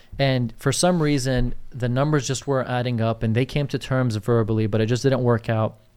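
A man with a normal speaking voice and medium pitch talks at a fairly quick pace with hardly any pauses. His loudness stays very even and his intonation fairly even. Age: 20s. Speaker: real estate agent and podcast co-host. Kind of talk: casual chat.

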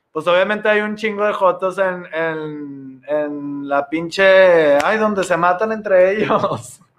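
A high-pitched male voice at a very slow pace. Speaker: comedian. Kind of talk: casual chat.

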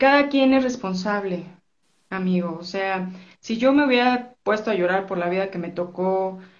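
Audible room echo surrounds a woman speaking fairly slowly at a medium pitch, with ordinary pitch variation. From Mexico City. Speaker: entrepreneur. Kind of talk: interview.

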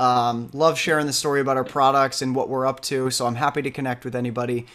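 A man with a normal speaking voice and a fairly high pitch speaks with fairly even intonation. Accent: American. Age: 30s. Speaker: startup CEO. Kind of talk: casual interview.

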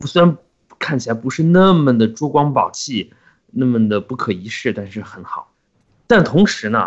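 This man speaks at a medium pitch and a moderate pace. His voice moves in very wide pitch swings. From Qinghai, China (Xining). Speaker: podcast co-host. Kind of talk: casual chat.

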